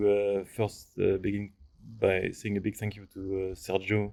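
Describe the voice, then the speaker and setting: A man with a French accent talks at a moderate pace in a fairly low, flat monotone. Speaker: architectural visualization artist. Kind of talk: lecture. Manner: halting.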